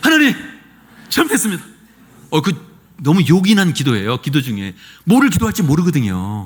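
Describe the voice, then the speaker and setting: A man talks at a fairly quick pace in an animated tone. His pitch swings very widely. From rural South Korea. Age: 60s. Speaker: pastor. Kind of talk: sermon. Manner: animated, conversational.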